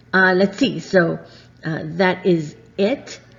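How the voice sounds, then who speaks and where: Over noticeable background noise, someone speaks at a very slow pace with fairly even intonation. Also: woman. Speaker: Disney vlogger. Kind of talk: casual vlog talk to camera. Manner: soft-spoken; hesitant, many fillers.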